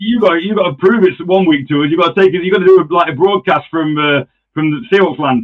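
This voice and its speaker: A man talks at a very fast pace and a high pitch. He has an East Midlands accent and ordinary pitch variation. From England, Nottingham. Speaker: podcast host. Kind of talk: casual chat.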